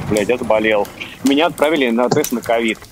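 Noticeable background noise sits behind the speaker. A man talks at a very fast pace and medium pitch. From Estonia. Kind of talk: casual chat. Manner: animated.

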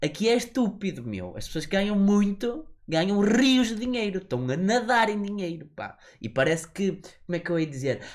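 A man speaks at a moderate pace with lively intonation. His pitch runs high. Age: 20s. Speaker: podcast co-host. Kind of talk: casual chat. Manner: animated.

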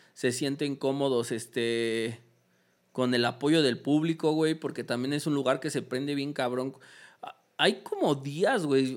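A man talks at a fairly slow pace. His voice is fairly high, with fairly even intonation. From Mexico. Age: 20s. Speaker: graffiti artist and festival decorator. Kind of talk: casual chat. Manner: casual, heavy slang.

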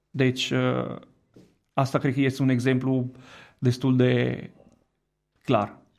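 Speaking in an Italian accent, a man of medium pitch talks at a very slow pace with long, frequent pauses, very even loudness and a monotone, flat intonation. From Italy. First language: Italian (speaking Romanian). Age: 30s. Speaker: education director. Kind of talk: radio interview. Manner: halting.

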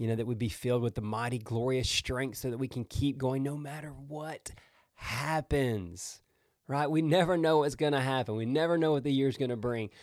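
With an animated tone, a man talks at a moderate pace and medium pitch. His pitch varies in an ordinary way. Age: 40s. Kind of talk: devotional podcast monologue.

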